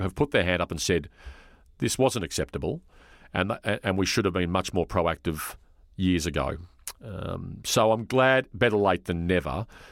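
With an Australian accent, a man talks at a fairly quick pace in a very deep, low pitch with lively intonation, recorded very cleanly against a silent background. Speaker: sports journalist. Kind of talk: interview.

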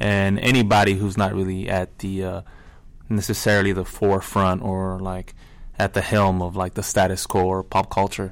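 In a very clean recording with a silent background, a man with an American accent and a plain, everyday voice speaks at a fairly low pitch and a moderate pace. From La Mirada, Los Angeles area. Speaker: band musician. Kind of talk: interview.

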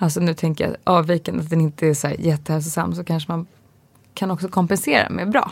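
Talking at a fairly quick pace, a woman with a plain, everyday voice keeps a fairly low pitch and fairly even intonation. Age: 30s. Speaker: podcast co-host, pregnant mother. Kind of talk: casual chat.

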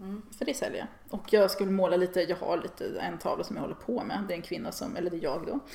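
Talking at a very fast clip with hardly a pause, a woman with a medium-pitched voice and lively intonation comes through over noticeable background noise. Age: 40s. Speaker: feminist online writer and artist. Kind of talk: casual interview chat.

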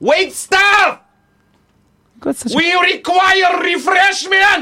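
A put-on character voice shouts. The pace is very slow. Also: man, extremely high pitch for a man. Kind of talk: formal, imperious. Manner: shouting, commanding.

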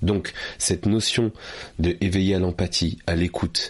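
Breathiness runs somewhat through this man's voice. His pitch is very deep and low. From France, Paris suburbs. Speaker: author and public speaking trainer. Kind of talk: interview.

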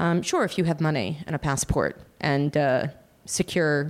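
A woman with an American accent speaks at a moderate pace in a very deep, low pitch, her intonation fairly even. The recording is very clean and the background silent. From United States. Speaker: abortion charity founder. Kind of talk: interview answers, explanatory.

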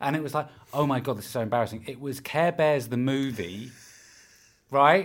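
Medium in pitch, this man speaks with a British accent and ordinary pitch variation. The recording is very clean, with a silent background. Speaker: podcast producer. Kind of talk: casual chat.

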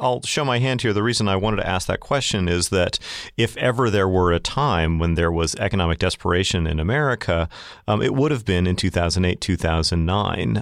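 On a very clean recording with a silent background, a man with a fairly low pitch speaks at a fairly quick pace with lively intonation. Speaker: podcast co-host, journalist. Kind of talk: podcast interview. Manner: repeats words, slightly halting.

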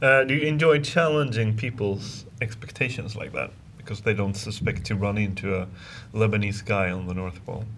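A man talks at a fairly quick pace in a Swedish accent. His pitch is fairly low, with ordinary variation. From Sweden. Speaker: podcast host. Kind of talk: interview. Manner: halting.

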